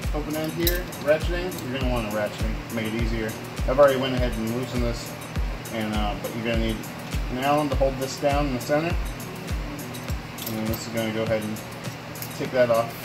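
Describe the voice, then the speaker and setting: Music plays behind the voice. A man speaks at a very fast pace. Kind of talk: tutorial. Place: garage. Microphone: phone near.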